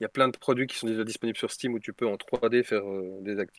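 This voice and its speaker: In a very clean recording with a silent background, a man at medium pitch speaks at a fairly quick pace with fairly even intonation, the sound dry and close with no echo. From Belgium. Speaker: tabletop role-playing game designer. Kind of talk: casual chat.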